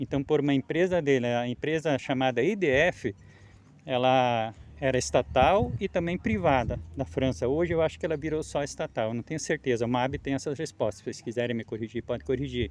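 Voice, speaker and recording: A man at medium pitch with lively intonation and a fairly quick pace. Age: 60s. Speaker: farmer. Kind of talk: field interview testimony. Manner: halting.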